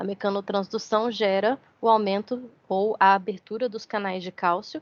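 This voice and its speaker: Against a quiet background, a woman with a plain, everyday voice speaks at a medium pitch and moderate pace, with fairly even intonation, big swings in loudness, and a dry, close sound with no echo. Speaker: university lecturer. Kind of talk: lecture.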